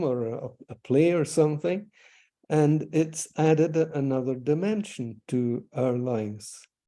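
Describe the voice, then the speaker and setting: A man with a Scottish accent, a dark, mellow tone, fairly high pitch, ordinary pitch variation and a fairly slow pace. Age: 80s+. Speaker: author and retired orthodontist. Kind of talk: interview. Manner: halting.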